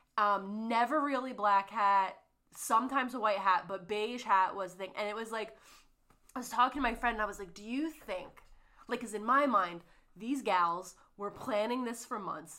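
Her tone bright, sharp and animated, a woman speaks at a fairly high pitch with ordinary pitch variation and a moderate pace. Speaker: podcast co-host. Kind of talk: casual chat, book discussion.

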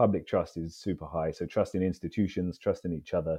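A man talks fairly quickly in a London accent, his pitch very deep and low. His intonation is monotone and flat. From London, England. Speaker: Olympic fencer and author. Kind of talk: casual interview. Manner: halting, repeats words.

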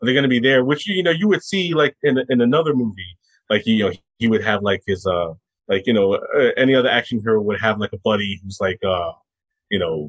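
A man with an American accent talks in a plain, everyday voice at a medium pitch. He moves at a fairly quick pace with lively intonation. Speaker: film podcaster. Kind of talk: casual chat.

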